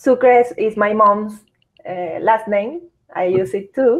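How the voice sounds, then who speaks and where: A woman with a Venezuelan accent, fairly high pitch and a very slow pace. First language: Spanish. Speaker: psychologist and entrepreneur. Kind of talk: interview. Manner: halting.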